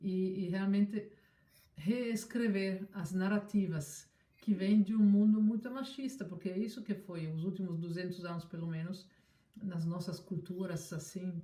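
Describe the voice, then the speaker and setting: A woman's somewhat breathy, medium-pitched voice at a fairly slow pace, with ordinary pitch variation. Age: 60s. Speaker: scientist. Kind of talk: interview. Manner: halting.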